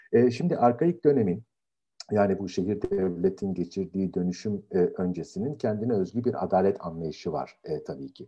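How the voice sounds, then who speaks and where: This man's voice is pitched rather low. He talks at an even tempo. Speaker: philosophy professor. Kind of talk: lecture. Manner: halting.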